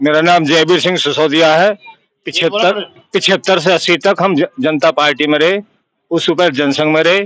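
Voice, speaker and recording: A man's high pitch at a moderate pace, with fairly even intonation, very even loudness and a dry, close sound with no echo. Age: 70s. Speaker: village elder and local party worker. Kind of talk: street interview.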